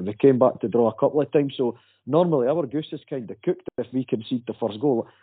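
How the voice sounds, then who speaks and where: A man talks at a very fast pace in a Dundee accent. His medium-pitched voice has lively intonation. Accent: Scottish (Dundee). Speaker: football fan guest. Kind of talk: casual chat.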